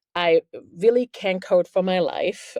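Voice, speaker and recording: This is a woman speaking with a German accent. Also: dry, close sound with no echo, quiet background. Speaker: journalist and author. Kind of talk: interview. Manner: casual, filler-heavy.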